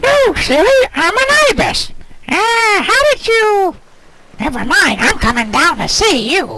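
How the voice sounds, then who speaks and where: A squeaky, cartoonish character voice at an extremely high pitch, with very wide pitch swings and a fairly slow pace. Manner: upbeat, chatty.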